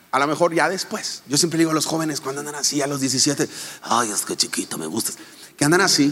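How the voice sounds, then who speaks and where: Fairly high in pitch, a man's voice moves at a fairly quick pace. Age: 40s. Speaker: pastor and speaker. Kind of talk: casual interview. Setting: live audience.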